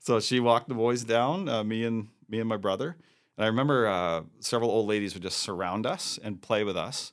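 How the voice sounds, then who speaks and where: A man with a plain, everyday voice, a medium pitch, ordinary pitch variation and a fairly quick pace, in a very clean recording with a silent background. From New Brunswick, Canada. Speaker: pastor and church planter. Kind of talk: interview.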